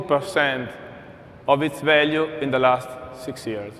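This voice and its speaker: A man with an Italian accent speaks fairly slowly at a fairly high pitch, with ordinary pitch variation. The room echo is audible, and there is noticeable background noise. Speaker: energy company executive. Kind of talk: conference keynote.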